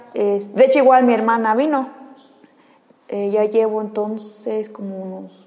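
A woman talks at a moderate pace in a fairly high pitch with fairly even intonation. Noticeable background noise runs underneath. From Yucatán, Mexico. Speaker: cosplayer and anime fan. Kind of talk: casual interview.

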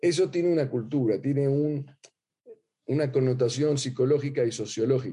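Somewhat breathy, a man speaks at a very even loudness. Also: fairly high pitch for a man, fairly even intonation, moderate pace. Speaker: rabbi teaching a class. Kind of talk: lecture. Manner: hesitant, many fillers and repetitions.

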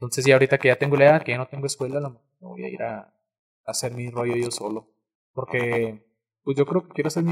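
A man's medium-pitched, somewhat breathy voice at a very fast pace, fairly even in intonation but with big swings in loudness, dry and close with no echo. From Mexico, Cuauhtémoc. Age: young. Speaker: content creator. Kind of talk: casual chat.

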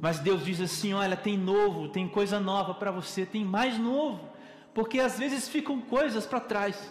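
A man speaks at a high pitch with ordinary pitch variation. Noticeable background noise and audible room echo are present. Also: moderate pace. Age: 30s. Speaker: preacher. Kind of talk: sermon.

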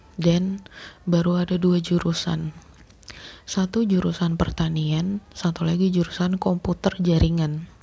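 A woman whispers quietly. Her pace is fairly slow. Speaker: podcast host. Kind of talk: personal storytelling monologue. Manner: hushed, whispering; halting with many fillers.

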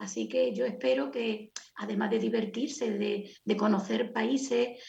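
In an ordinary speaking voice, a woman talks at a moderate speed. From Andalusia, Sierra de Cádiz, Spain. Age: 60s. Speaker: writer, retired lawyer. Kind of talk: interview.

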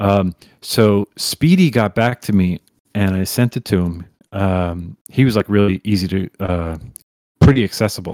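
With an unremarkable speaking voice, this man talks at a moderate pace and fairly low pitch, with ordinary pitch variation and a dry, close sound with no echo. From New York. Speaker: music remixer. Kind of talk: casual chat.

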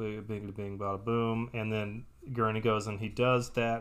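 Speaking at a moderate pace, a man with a slight Texas accent uses a medium pitch. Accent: slight Texas accent, pin-pen merger. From US South, Texas. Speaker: podcast host reading a book aloud to partner. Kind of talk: casual chat, book recap. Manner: casual, joking.

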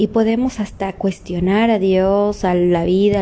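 A woman at a fairly slow pace, monotone and flat, with noticeable background noise. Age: 30s. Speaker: motivational podcaster. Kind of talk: motivational monologue.

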